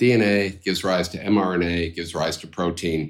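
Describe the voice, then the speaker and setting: In a very clean recording with a silent background, a man speaks at a moderate pace with a very deep, low pitch. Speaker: biotech co-founder, former professor. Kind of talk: interview.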